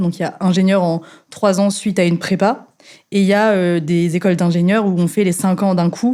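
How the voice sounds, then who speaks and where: A woman's dark, mellow voice with fairly even intonation on a very clean recording with a silent background. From central France, Clermont-Ferrand. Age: 20s. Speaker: fire safety engineer. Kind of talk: podcast interview. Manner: hesitant, many fillers.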